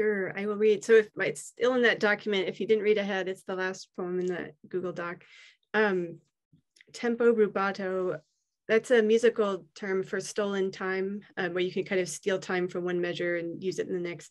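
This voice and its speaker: A woman delivers her words at a moderate pace and in fairly even intonation, with a quiet background behind her. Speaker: poet. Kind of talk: reading aloud. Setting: video call. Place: home room. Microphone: video call.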